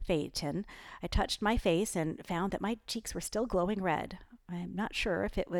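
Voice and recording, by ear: Natural reading aloud, pitch shifting in ordinary ways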